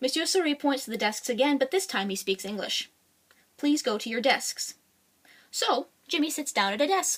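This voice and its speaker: A woman speaks at a moderate pace with a high pitch and very wide pitch swings, leaving long, frequent pauses. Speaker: children's book author and illustrator. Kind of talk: read-aloud children's picture book. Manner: casual, unrehearsed.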